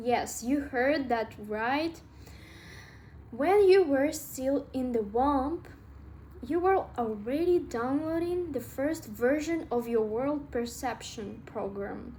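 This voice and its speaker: A woman's high-pitched, dark and mellow voice with a Russian accent, lively intonation, a very slow pace and audible room echo. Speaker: self-help vlogger. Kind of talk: casual talk to camera. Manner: halting, with filler words.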